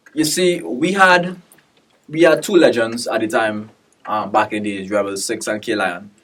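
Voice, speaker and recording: A man's medium-pitched voice with very wide pitch swings. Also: moderate pace. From Trinidad. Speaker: dancehall artist. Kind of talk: casual interview. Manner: hesitant, many fillers.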